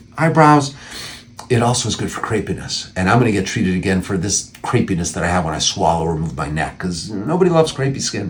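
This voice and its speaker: A man talks at a very fast pace with very wide pitch swings over noticeable background noise. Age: 60s. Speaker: plastic surgeon. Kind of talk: informational talk to camera. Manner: conversational, with frequent fillers and restarts.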